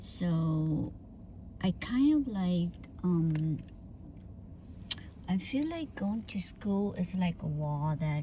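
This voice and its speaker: A voice with a Vietnamese accent speaks very slowly, with long, frequent pauses and very wide pitch swings. Its tone is dark and mellow, and somewhat breathy. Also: woman, fairly low pitch for a woman. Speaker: vlogger. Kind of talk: casual personal storytelling. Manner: halting, many fillers.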